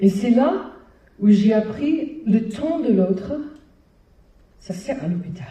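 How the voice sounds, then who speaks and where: Speaking very slowly with long, frequent pauses, a woman with an American accent uses a fairly high pitch with very wide pitch swings, in a room with audible echo. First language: English (speaking French). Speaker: hospital clown founder, performer. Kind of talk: public talk. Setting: stage with audience. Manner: hesitant, with fillers.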